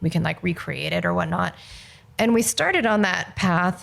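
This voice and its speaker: A woman with a Californian accent speaks at a medium pitch and a moderate pace, with vocal fry. The recording is very clean, with a silent background. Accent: Californian American. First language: Mandarin. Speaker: film director. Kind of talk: interview. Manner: casual, many fillers.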